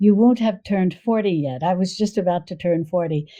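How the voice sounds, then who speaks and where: Using a normal speaking voice, a woman with an American accent talks at a fairly quick pace in a medium pitch, with ordinary pitch variation. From US Northeast, New York suburbs. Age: 60s. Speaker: cooking video creator and cookbook author. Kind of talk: podcast interview.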